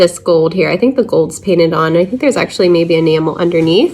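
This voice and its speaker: A woman at a fairly quick pace with lively intonation, over noticeable background noise. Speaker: thrift reseller, channel host. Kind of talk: haul review, casual talk to camera.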